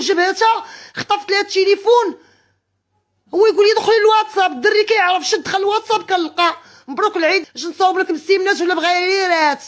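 This woman's pitch is extremely high. She talks at a fairly quick pace. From Morocco, El Jadida. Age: 40s. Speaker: wronged wife telling her story. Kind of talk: emotional testimony.

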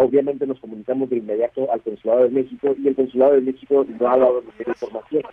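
Here a man rushes along at a very fast pace with hardly any pauses. His intonation is monotone and flat. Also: medium pitch for a man. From Mexicali, Baja California, Mexico. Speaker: newspaper editor. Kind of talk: news interview. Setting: phone or video call.

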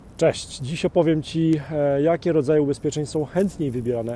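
A man speaks at a moderate pace, his voice dry with no echo. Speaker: insurance trainer. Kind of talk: casual vlog chat. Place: forest. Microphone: earbuds.

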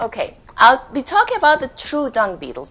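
A woman's voice rises and falls in very wide pitch swings. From Peru. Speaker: ecology professor. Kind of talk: lecture. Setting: auditorium with audience. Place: hall.

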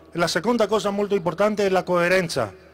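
With a Greek accent, a man talks at a fairly quick pace with ordinary pitch variation. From Greece. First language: Greek (speaking Italian). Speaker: political candidate; candidate. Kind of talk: campaign speech. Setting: stage with audience. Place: stage. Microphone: handheld.

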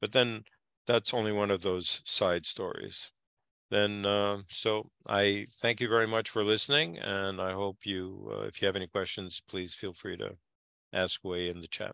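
At a fairly slow pace, a man with a fairly low pitch and a bright, sharp tone speaks in fairly even intonation, the sound dry with no echo and the background quiet. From Japan (Kobe); Japan. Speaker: community historian speaker; speaker. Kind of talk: online lecture with slides. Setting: video call. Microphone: headset.

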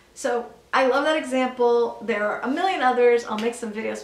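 Audible room echo surrounds a woman's high-pitched voice. She talks at a fairly quick pace. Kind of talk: educational vlog talk to camera. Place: home room.

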